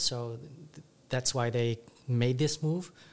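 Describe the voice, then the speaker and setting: This man has an unremarkable speaking voice, with a medium pitch, fairly even intonation and a fairly slow pace. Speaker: co-host asking questions. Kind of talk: casual podcast interview.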